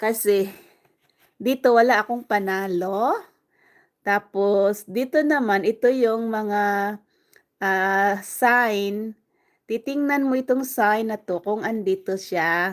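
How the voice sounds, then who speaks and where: At a very slow pace, a woman speaks at a fairly high pitch with ordinary pitch variation on a very clean recording with a silent background. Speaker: livestreamer. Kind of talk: casual live stream chat. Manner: loud; chatty.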